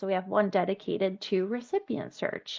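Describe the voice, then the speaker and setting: At a fairly quick pace, a woman talks in a medium pitch over a quiet background. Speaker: webinar trainer. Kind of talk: training webinar. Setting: online webinar. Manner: fast. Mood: friendly, encouraging. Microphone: video call.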